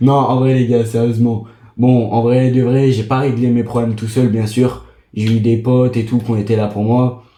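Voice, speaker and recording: A man speaks at medium pitch in a dark, mellow tone, his intonation monotone and flat. Audible room echo surrounds the voice. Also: moderate pace. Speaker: gaming streamer. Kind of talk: casual gaming vlog monologue.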